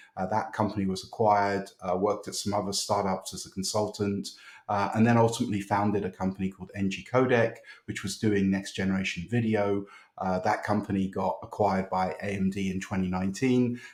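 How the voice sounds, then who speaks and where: On a very clean recording with a silent background, a man with a British accent speaks at a fairly low pitch in monotone, flat intonation. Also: fairly quick pace. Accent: British, kept. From United Kingdom. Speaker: tech startup founder. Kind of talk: podcast interview. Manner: hesitant, many fillers and repeats.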